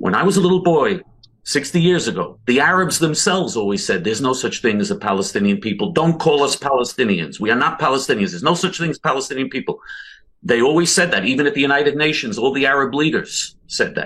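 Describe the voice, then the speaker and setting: Very wide pitch swings at a very fast pace. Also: man, fairly high pitch for a man. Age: 60s. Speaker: political activist. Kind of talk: heated debate.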